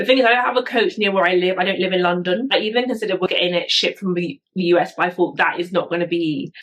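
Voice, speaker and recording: Very fast woman's speech in a British accent, medium pitch, ordinary pitch variation. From UK. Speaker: YouTuber, bag reviewer. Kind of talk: product review vlog. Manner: casual, chatty.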